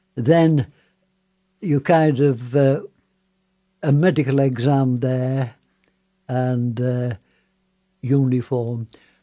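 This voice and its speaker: A man with a Yorkshire accent at a very slow pace, medium pitch and dark, mellow tone, fairly even intonation, and long, frequent pauses. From northern England, Wakefield. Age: 90s. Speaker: war veteran. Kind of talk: interview. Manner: halting.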